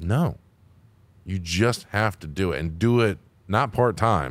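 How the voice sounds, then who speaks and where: A man with vocal fry speaks fairly slowly, his pitch swinging very widely, on a very clean recording with a silent background. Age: 30s. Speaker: podcast host. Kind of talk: casual chat.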